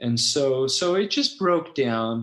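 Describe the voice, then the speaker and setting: Lively intonation marks this man's speech in a Californian accent. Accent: Californian American English. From US West Coast, Los Angeles (San Fernando Valley). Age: 60s. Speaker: founder of an ESL teaching website, former English teacher. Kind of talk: interview podcast, personal life story. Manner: hesitant, many fillers and restarts.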